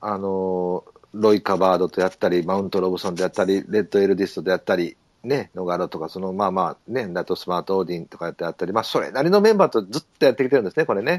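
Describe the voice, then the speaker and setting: A man speaks at a very fast pace in a very deep, low voice. The background is quiet, and the sound is dry and close with no echo. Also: ordinary pitch variation. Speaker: horse racing podcast host. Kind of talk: casual chat. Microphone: poor audio quality.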